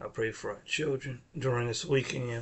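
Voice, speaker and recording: The voice is somewhat breathy. It moves at a fairly slow pace with fairly even intonation. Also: man. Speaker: minister leading prayer. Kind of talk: prayer.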